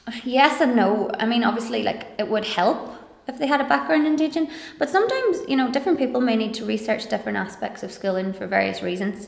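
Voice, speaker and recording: Amid noticeable background noise, a woman with a Donegal accent speaks at a very fast pace in a fairly high pitch with very wide pitch swings. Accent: Donegal Irish (Ulster). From Ireland, County Donegal. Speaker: primary teacher and lecturer. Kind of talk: casual interview conversation.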